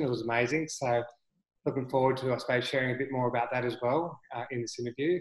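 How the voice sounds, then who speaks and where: An unremarkable speaking voice from a man, fairly quick in pace, with ordinary pitch variation. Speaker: podcast host.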